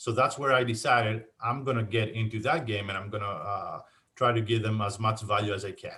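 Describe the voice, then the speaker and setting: With a strong Greek accent, a man speaks in a bright, sharp tone. His pitch is medium and his intonation fairly even. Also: fairly quick pace. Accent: thick Greek. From Greece, Athens. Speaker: insurance agent. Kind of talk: casual interview. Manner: halting, many fillers.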